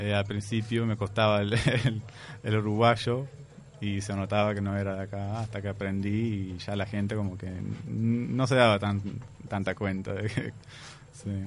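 A man speaks fairly slowly with a fairly low pitch and monotone, flat intonation. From Palestine. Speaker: immigrant guest. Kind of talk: interview.

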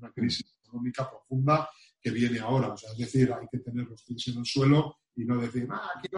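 Fairly quick, fairly evenly intoned speech from a man at medium pitch. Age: 50s. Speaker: travel industry executive. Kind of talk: interview. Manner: halting.

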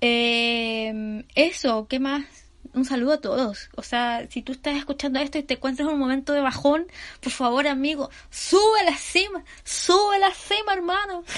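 In a Chilean accent, a woman with a high pitch speaks fairly slowly, her tone animated and her intonation lively. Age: 30s. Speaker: podcaster. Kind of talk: casual monologue.

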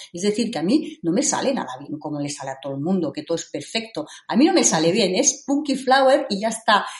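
The speech runs with hardly any pauses, showing very wide pitch swings and big swings in loudness. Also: woman, medium pitch for a woman. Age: 50s. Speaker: rock climber. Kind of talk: interview. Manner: halting.

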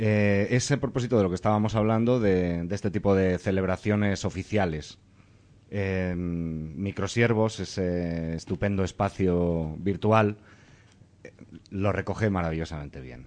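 This man speaks at a fairly slow pace with a very deep, low pitch. His loudness swings a lot while his pitch varies in an ordinary way. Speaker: radio host. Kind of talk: radio magazine show. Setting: studio.

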